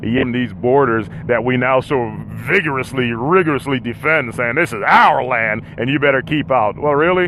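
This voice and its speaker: Lively intonation against noticeable background noise. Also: man. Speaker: podcast host on a road trip. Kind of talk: live solo podcast monologue. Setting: in a vehicle, mobile. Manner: fast; halting, repeated words.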